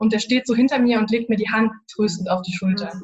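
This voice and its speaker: Somewhat breathy, a woman talks at a fairly quick pace and fairly high pitch with fairly even intonation. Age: 20s. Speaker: university student sharing grief experience. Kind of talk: interview, personal testimony. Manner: halting, many fillers.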